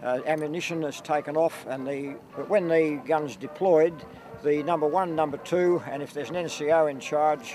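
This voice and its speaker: A man at a moderate pace with fairly even intonation and an Australian accent, music playing in the background. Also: fairly high pitch for a man. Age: 70s. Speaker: light horse troop leader, army veteran. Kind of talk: interview.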